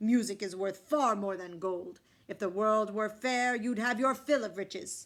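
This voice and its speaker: A woman uses a put-on character voice. She pitches it fairly high. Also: moderate pace. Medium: read story. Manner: regal, commanding.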